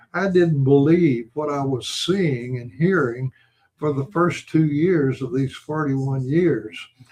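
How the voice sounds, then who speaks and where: Somewhat breathy and fairly high-pitched, a man speaks at a very slow pace with ordinary pitch variation. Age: 80s+. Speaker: medical doctor and researcher. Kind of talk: interview answer.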